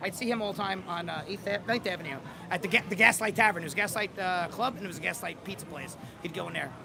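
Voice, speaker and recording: Music plays in the background as a man with an American accent talks at a very fast pace. His pitch is high, with ordinary variation. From New York City, Staten Island. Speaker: passerby interviewed on the street, real estate broker. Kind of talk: casual street interview. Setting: outdoors on the street.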